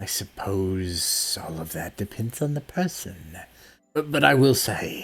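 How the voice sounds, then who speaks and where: A man does a put-on character voice with very wide pitch swings at a fairly slow pace, on a very clean recording with a silent background. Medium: actual play. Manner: cryptic, measured.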